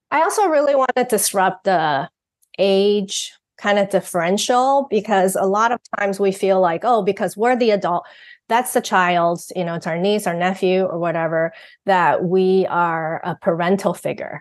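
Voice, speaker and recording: A woman speaks with a Mandarin accent at a medium pitch. The background is quiet. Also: ordinary pitch variation, moderate pace. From Taiwan. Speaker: parenting author and guest co-host. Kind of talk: podcast conversation.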